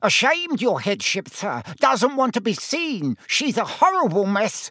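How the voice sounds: Cackling in a put-on character voice, a man speaks at a high pitch and fairly slow pace, with very wide pitch swings and a bright, sharp tone.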